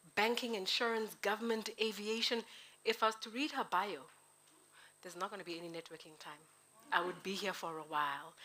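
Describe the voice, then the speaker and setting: Speaking at a fairly quick pace with long, frequent pauses, a woman uses a medium pitch, ordinary pitch variation and a bright, sharp, animated tone, her loudness swinging widely on a very clean recording with a silent background. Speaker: MC at networking event. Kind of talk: event MC introduction. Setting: live event with audience.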